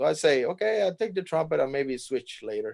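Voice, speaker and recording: Over a quiet background, a man with a Cuban accent speaks in a dark, mellow tone. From Cuba, Havana. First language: Spanish. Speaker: jazz trumpet player. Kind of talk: interview. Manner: halting, many fillers and restarts.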